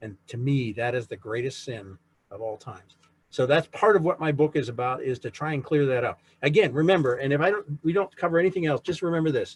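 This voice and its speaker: A man speaks at a very fast pace with a fairly high pitch, lively intonation and big swings in loudness. His voice is somewhat breathy, and the sound is dry and close with no echo. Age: 60s. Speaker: author and navy veteran giving a history talk. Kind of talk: lecture. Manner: conversational.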